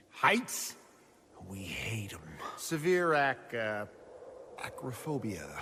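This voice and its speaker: A man's put-on character voice, very slow, with very wide pitch swings and long, frequent pauses. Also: medium pitch for a man. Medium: audio drama. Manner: tough, streetwise, uses "we".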